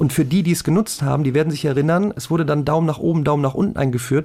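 A fairly high-pitched male voice over noticeable background noise. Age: 40s. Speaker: math YouTuber and online tutor. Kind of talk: casual chat.

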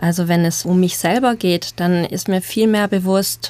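The delivery comes in a normal speaking voice at a fairly slow pace. Intonation stays fairly even. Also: woman. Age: 30s. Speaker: social psychologist. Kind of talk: panel discussion.

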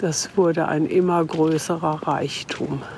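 A woman speaks with a very deep, low pitch. Noticeable background noise runs behind her. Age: 70s. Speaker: featured interviewee, mother of the reporter. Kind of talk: documentary interview. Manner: talkative.

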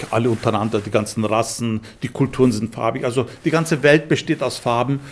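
The man talks at an average speed, his pitch moving in a normal way. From Istanbul, then Munich from age nine. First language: Turkish (speaking German). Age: 60s. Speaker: musician and composer. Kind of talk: interview.

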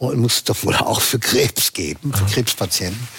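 A man's medium-pitched voice at a moderate pace, ordinary pitch variation, dry, close sound with no echo, and noticeable background noise. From Berlin, Germany. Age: 60s.

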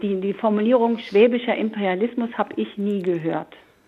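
A woman speaks in a normal speaking voice at a medium pitch. Her pace is moderate, and her pitch variation is ordinary. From Hamburg. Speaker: historian. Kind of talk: panel discussion.

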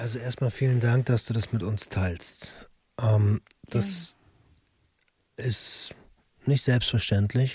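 At a very slow pace, a man speaks in a medium pitch with a somewhat breathy voice. His intonation is fairly even, and he leaves long, frequent pauses. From Berlin. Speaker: podcast co-host. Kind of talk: casual chat.

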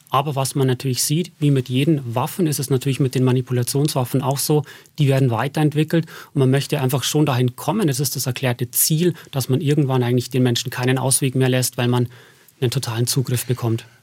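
A man with a slight Bavarian accent talks at a very fast pace, sounding somewhat breathy. The recording is very clean, with a silent background. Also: medium pitch for a man, fairly even intonation, very even loudness. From Bavaria, Berchtesgaden. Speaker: propaganda researcher. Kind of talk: radio interview.

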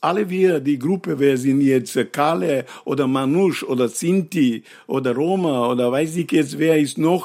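A man speaks in an unremarkable speaking voice at a fairly slow pace, with ordinary pitch variation and very even loudness. The recording is very clean with a silent background. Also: fairly high pitch for a man, hardly any pauses. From North Macedonia. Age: 60s. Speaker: actor and poet. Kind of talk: interview. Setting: at his home.

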